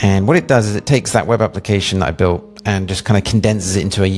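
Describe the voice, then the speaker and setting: Very fast, fairly even speech in an English accent over noticeable background noise. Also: man. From England. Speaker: web developer and product designer. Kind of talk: product demo walkthrough. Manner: casual, with many fillers.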